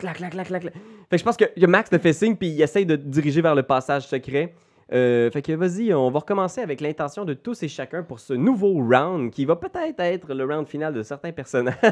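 A man with a Quebec accent speaks at a fairly quick pace in a fairly high pitch, with an animated tone and lively intonation over a quiet background. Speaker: game master of a role-playing game. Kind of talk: role-playing game narration.

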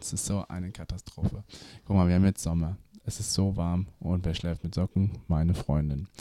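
A man speaks at a moderate pace with a very deep, low pitch and fairly even intonation. His dark, mellow tone sounds dry and close, with no echo. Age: 20s (21). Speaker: podcast co-host. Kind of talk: casual chat.

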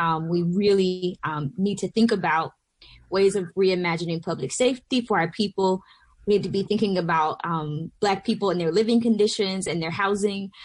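A woman with an American accent speaks at a moderate pace and medium pitch, somewhat breathy, with fairly even intonation. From US South, southwest Georgia. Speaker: pastor and organizer. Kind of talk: radio panel discussion.

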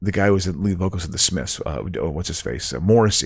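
A man with an American accent speaks at a fairly low pitch with vocal fry, on a very clean recording with a silent background. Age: 50s. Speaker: comedian. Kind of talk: casual chat.

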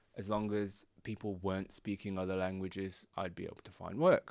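In a very clean recording with a silent background, a man speaks with a very deep, low pitch and monotone, flat intonation. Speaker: self-employed entrepreneur. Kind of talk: casual chat. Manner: fast.

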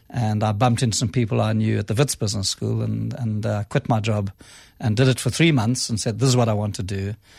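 A man speaks very fast in a somewhat breathy, fairly low voice with fairly even intonation. The recording is very clean, with a silent background. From South Africa, Cape Town. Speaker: business school dean. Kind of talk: radio interview.

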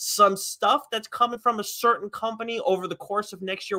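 A raised, projected voice with a bright, sharp tone at a moderate pace, in a dry, close sound with no echo. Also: man. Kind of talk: casual podcast banter, comics chat. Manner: rambling, chatty, laughs often, easygoing.

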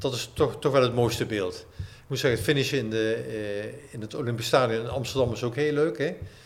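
A man talks with hardly any pauses. There is audible echo from the room. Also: medium pitch for a man, ordinary pitch variation, fairly quick pace. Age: 60s. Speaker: running coach and author. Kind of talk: casual chat. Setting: clubhouse.

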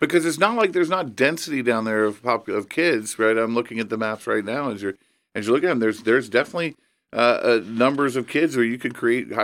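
Talking at a very fast pace, a man with an American accent uses a medium pitch and ordinary pitch variation. The recording is very clean, with a silent background. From Indiana (Evansville). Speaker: education nonprofit president. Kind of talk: casual chat.

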